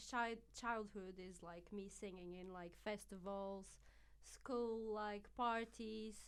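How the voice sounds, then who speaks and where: At a very slow pace, a woman speaks with a Portuguese accent. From Portugal. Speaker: singer. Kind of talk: casual chat.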